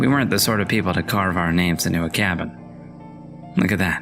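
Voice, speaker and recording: Music plays in the background as a man speaks. His pitch is very deep and low, his pace moderate. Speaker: voice-over narrator. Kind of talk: horror story reading.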